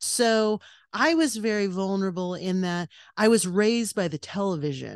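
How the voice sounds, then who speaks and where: An ordinary speaking voice from a woman at medium pitch, with lively intonation and a moderate pace. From California, US. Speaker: podcast co-host, guest. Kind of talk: casual interview chat.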